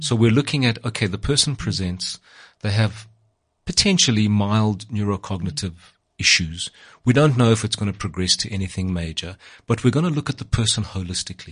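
A man's somewhat breathy, fairly low voice at a fairly quick pace, lively intonation, quiet background. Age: 60s. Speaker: psychiatrist podcast host. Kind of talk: interview conversation.

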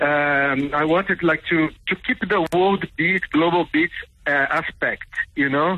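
A man speaks at a fairly slow pace in a high pitch. His intonation is fairly even and his loudness very even. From Brazil. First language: Portuguese. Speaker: percussionist and record label owner. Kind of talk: casual radio interview. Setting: phone or video call to radio show.

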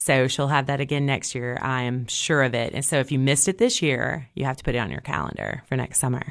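Delivery is fairly quick with hardly any pauses. Intonation stays fairly even over a quiet background. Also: woman, very deep, low pitch for a woman. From Tennessee, Cookeville. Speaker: library director. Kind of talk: radio interview. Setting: studio.

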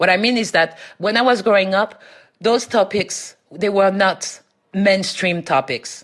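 Her voice medium in pitch with ordinary variation and very even loudness, a woman speaks with a French accent. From France, Paris. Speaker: academic. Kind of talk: interview.

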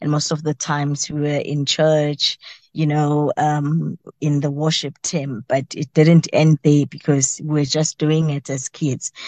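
In a dry, close sound with no echo, a woman speaks fairly slowly in a very deep, low pitch, her tone dark and mellow and her intonation monotone and flat. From South Africa, Mpumalanga. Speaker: teacher and part-time radio host. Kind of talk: interview.

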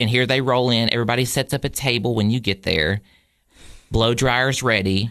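A man with a Southern US accent at a moderate pace. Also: medium pitch for a man, very even loudness. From Tennessee, Cookeville. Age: 20s. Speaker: college student and poultry exhibitor. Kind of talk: casual interview. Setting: radio studio. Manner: animated.

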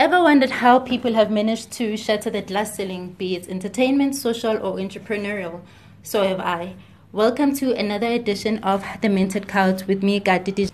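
A woman's normal speaking voice, medium in pitch, at a fairly quick pace with ordinary pitch variation. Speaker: podcast host. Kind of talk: interview.

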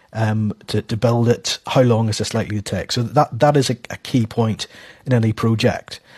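In a dry, close sound with no echo and a quiet background, a man speaks at medium pitch and a moderate pace, somewhat breathy, with fairly even intonation. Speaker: business economics editor, journalist. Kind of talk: radio interview, analysis.

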